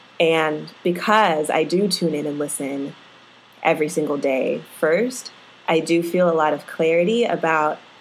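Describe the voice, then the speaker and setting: A woman with an unremarkable speaking voice talks at a fairly low pitch, with ordinary pitch variation. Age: 30s. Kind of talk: interview.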